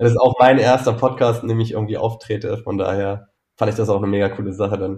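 A man talks at a very fast pace, somewhat breathy. His intonation stays monotone and flat. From Saxony-Anhalt, Altmark, village. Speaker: founder of a bus travel project. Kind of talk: interview.

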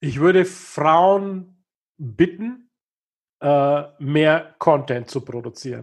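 At a very slow pace, a man talks in a fairly high pitch with ordinary pitch variation. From Upper Franconia, northern Bavaria (Kulmbach). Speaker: business consultant. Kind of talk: interview.

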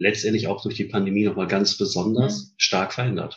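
Here is a man with an ordinary speaking voice. He speaks at a fairly quick pace with ordinary pitch variation. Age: 50s. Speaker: headhunter, managing director. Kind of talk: interview.

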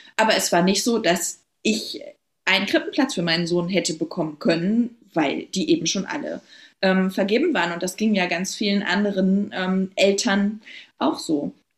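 Somewhat breathy and lively in intonation, a woman speaks at a medium pitch and a moderate pace. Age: 30s. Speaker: local politician. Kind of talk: podcast interview. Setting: recording with her baby present.

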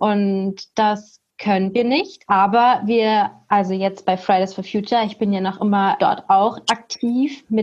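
Her intonation is fairly even throughout. The woman's voice sits at a medium pitch. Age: 20s. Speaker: university student, youth activist. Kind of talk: casual panel discussion. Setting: video call from home.

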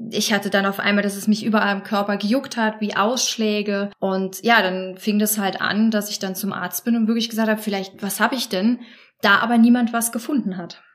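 Over noticeable background noise, a woman with a medium pitch speaks at a fairly quick pace in monotone, flat intonation. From Germany, Trier. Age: 30s. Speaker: support group leader. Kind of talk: interview.

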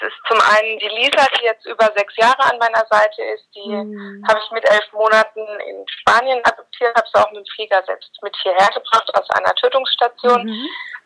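A woman speaks with hardly any pauses and big swings in loudness, recorded with a dry, close sound and no echo. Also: moderate pace. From Mainz, Germany. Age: 30s. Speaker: journalist and dog owner. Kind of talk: podcast interview.

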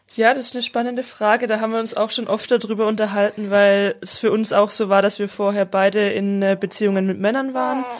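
A woman talks at a fairly quick pace. There are hardly any pauses, and her intonation is fairly even. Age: 20s. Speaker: social worker. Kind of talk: interview.

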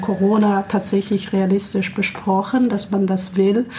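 Noticeable background noise accompanies a woman who talks at a fairly slow pace in a flat monotone, medium in pitch. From Kazakhstan. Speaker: peace organization staff. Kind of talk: radio interview. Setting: radio studio.

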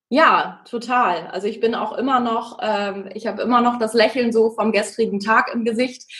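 A woman with a fairly high pitch talks at a moderate pace, noticeable background noise behind her. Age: 20s. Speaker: singer and social worker. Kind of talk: casual interview.

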